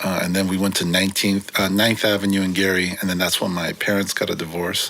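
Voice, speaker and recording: In a Californian accent, a man speaks in a very deep, low voice with a relaxed tone and flat, monotone intonation. Background noise is noticeable. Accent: Californian American English. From San Francisco, California. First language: Korean. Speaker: graffiti writer. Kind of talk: casual interview. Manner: relaxed, many fillers.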